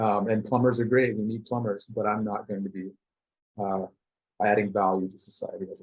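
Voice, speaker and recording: An American-accented man talks at a fairly quick pace with a fairly low pitch. His intonation is monotone and flat, while his loudness swings widely. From Texas (Denton, north of Dallas). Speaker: artist and studio co-founder. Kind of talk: casual interview chat.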